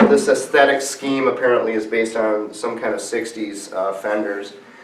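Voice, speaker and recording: A man talks amid clearly audible background noise, with echo from the room around him. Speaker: guitar reviewer. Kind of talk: product review demo. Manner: casual, hesitant with fillers.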